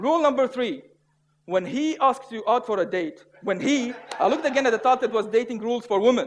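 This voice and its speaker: A man with a non-native accent, an extremely high pitch, ordinary pitch variation and a fairly quick pace. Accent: noticeable foreign. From Syria. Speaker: public speaker. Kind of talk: humorous contest speech.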